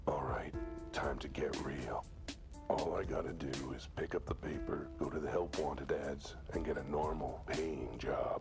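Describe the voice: Over clear music in the background, a man puts on a character voice of extremely low pitch with vocal fry. He goes at a fairly slow pace with fairly even intonation.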